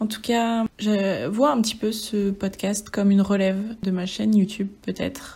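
The voice is somewhat breathy with a dark, mellow tone, moving at a fairly slow pace with fairly even intonation. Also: woman, medium pitch for a woman, hardly any pauses. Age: 20s. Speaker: podcaster and bookseller apprentice. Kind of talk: casual solo monologue.

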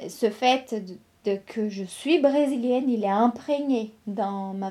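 A woman with a Brazilian accent speaks in a fairly high pitch, her tone dark and mellow and her intonation fairly even. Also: very clean recording, silent background. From Brazil, São Paulo state (São Carlos). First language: Brazilian Portuguese (speaking French). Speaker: visual and performance artist. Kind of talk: interview testimony.

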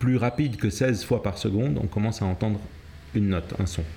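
With a dark, mellow tone and somewhat breathy delivery, a man speaks at a fairly low pitch using lively intonation. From Cape Verde and Senegal, then Switzerland. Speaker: jazz pianist and music theorist. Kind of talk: interview explanation.

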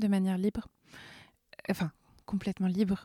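A woman's medium-pitched voice with a dark, mellow tone, monotone, flat intonation, and a moderate pace, in a dry, close sound with no echo on a very clean recording with a silent background. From France, Orléans. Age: 20s. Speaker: workshop participant. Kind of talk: personal testimony. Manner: halting.

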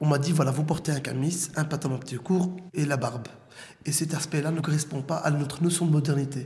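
A man speaks at a fairly quick pace in a fairly high voice. Room echo is audible. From Brussels, Belgium. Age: 30s. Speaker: former detainee. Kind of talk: testimony.

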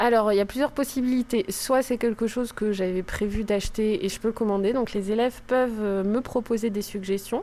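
A fairly high-pitched woman's voice with a dark, mellow tone, fairly even intonation, and a moderate pace with hardly any pauses. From northern France. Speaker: school librarian. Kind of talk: interview.

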